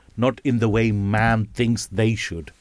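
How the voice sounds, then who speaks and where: The recording is very clean, with a silent background. A man with a normal speaking voice talks at medium pitch and a moderate pace. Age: 50s. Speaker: radio show host. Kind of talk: casual chat. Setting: studio.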